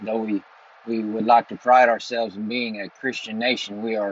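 At a moderate pace, a man speaks at medium pitch with a fairly bright tone and little pitch movement.

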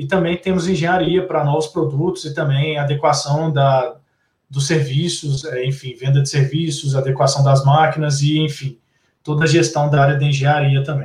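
A man with a fairly high pitch sounds somewhat breathy. He talks at a moderate pace with monotone, flat intonation. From Belo Horizonte, Brazil. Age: young. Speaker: technology executive. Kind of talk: online talk on digital transformation.

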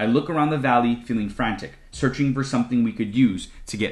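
The natural reading voice shows ordinary pitch variation.

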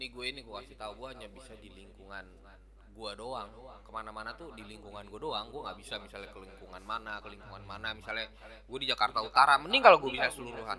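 Big swings in loudness mark this man's speech. He talks at a very fast pace with a Sundanese accent. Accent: Sundanese-accented Indonesian. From West Java, Indonesia. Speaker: former drug user. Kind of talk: casual chat.

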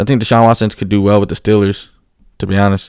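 A man with an American accent, fairly low in pitch and at a fairly quick pace, on a very clean recording with a silent background. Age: 20s. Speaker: sports podcast host. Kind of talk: casual sports talk monologue. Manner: animated.

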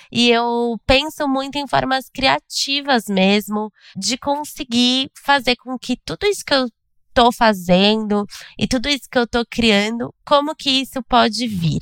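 In a normal speaking voice, a woman talks at a fairly slow pace and a fairly high pitch with ordinary pitch variation, recorded with a dry, close sound, no echo, a very clean recording and a silent background. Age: 30s. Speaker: newsletter founder, entrepreneur. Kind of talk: casual interview.

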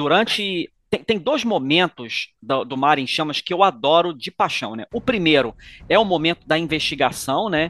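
A man's high, bright, sharp voice with lively intonation, dry and close with no echo. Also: moderate pace. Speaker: podcast host. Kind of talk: casual chat.

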